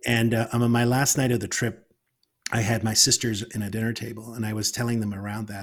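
This man's voice sits at a medium pitch. It carries a somewhat breathy quality. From Northern Ireland. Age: 50s. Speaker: author and storyteller. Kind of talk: casual interview conversation.

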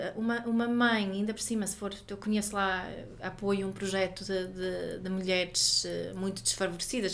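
At a moderate pace, a woman speaks with medium pitch and flat, monotone intonation. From Sweden. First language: Swedish (speaking Portuguese). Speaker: parenting educator and author. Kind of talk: interview. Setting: office.

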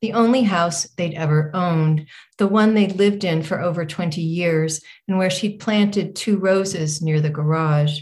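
A woman with an American accent speaks at a fairly slow pace and a fairly low pitch. Her voice is somewhat breathy, with ordinary pitch variation. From Northern California. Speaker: author. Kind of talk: reading aloud. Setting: stage with audience.

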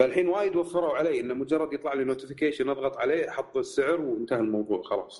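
Talking at a very fast pace, a man leaves hardly any pauses. His pitch is fairly high, with ordinary variation. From Kuwait. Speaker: tech podcast guest. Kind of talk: casual chat.

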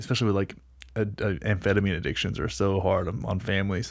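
A man with a fairly low pitch and vocal fry talks at a fairly quick pace with ordinary pitch variation. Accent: American. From North Texas. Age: 30s. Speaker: lifestyle coach, former gym owner. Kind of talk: casual chat.

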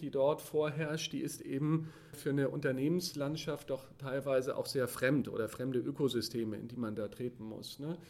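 Here a man with a normal speaking voice and a fairly high pitch talks at a moderate pace, with fairly even intonation and hardly any pauses. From Hamburg, northern Germany. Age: 40s. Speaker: corporate sustainability manager. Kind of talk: interview.

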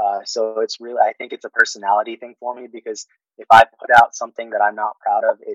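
A man with a Californian accent talks at a very fast pace. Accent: Californian American English. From Fairfield, California (born in the Philippines). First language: Tagalog. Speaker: air force paralegal. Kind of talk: interview.

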